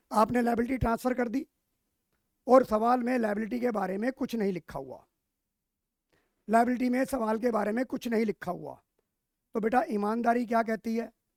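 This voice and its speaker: Loud and at an extremely high pitch, a man speaks with long, frequent pauses. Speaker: teacher. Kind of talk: lecture. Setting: live online class.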